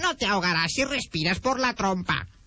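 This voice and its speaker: In a put-on character voice, the speaker holds a middle pitch at a moderate pace. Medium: read story. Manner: interjecting "oh!".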